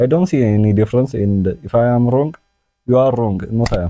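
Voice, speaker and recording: A man speaks with a non-native accent. Music plays in the background. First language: not English. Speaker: chess and science youtuber. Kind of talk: unscripted tutorial. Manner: halting, many fillers.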